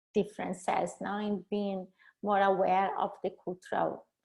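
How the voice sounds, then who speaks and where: This woman speaks with a Brazilian accent. Her pace is fairly slow. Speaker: leadership and cross-cultural coach. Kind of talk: webinar presentation. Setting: video call. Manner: halting.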